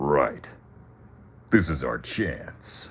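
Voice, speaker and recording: A man puts on a gruff character voice. His pitch sits very deep and low. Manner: super macho, gruff.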